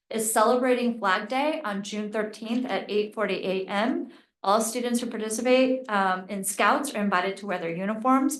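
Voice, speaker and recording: With audible room echo, a woman speaks at a fairly quick pace and a fairly high pitch. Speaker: mayor. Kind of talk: council meeting announcements. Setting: township council meeting.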